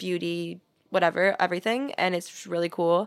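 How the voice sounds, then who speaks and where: On a very clean recording with a silent background, a woman with a normal speaking voice talks at a moderate pace in an American accent, her pitch medium. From US Midwest, St. Louis. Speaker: podcast guest. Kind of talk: casual chat.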